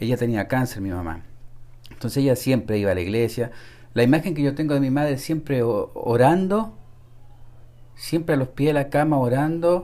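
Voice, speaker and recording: A dark, mellow tone with lively intonation at a moderate pace, broken by long, frequent pauses, on a very clean recording with a silent background. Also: man, medium pitch for a man. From Chile (Santiago). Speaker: church member, seminary student. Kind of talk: testimony. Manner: halting, many repetitions.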